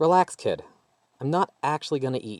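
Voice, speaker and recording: Someone performs a put-on character voice at a fairly quick pace. The recording is dry and close, with no echo. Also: man. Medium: read story. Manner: brash, casual.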